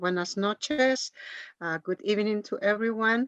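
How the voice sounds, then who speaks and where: A woman with an Andean accent speaks at a medium pitch with ordinary pitch variation, the sound dry and close with no echo. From Bolivia (Cochabamba). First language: Quechua. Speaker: Andean ritual leader and language teacher. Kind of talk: casual greeting and thanks. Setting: virtual event.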